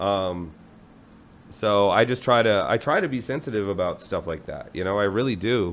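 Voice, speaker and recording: At a moderate pace, a man with an ordinary speaking voice talks in a fairly low pitch with ordinary pitch variation. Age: 30s. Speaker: music promoter and musician. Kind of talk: casual chat.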